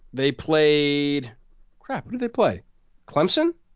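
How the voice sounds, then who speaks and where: A man speaks with an American accent at a fairly high pitch. His pitch swings very widely. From Eastern Pennsylvania. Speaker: podcast co-host. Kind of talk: casual podcast conversation.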